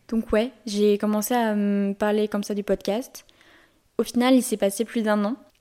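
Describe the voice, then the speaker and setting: In a Lyon accent, a woman speaks with a dark, mellow tone. Her pitch is fairly high and her intonation fairly even. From France, Lyon. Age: 20s. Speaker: podcast host. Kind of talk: solo podcast monologue. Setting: home recording in bedroom. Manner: poor articulation; monotone storytelling.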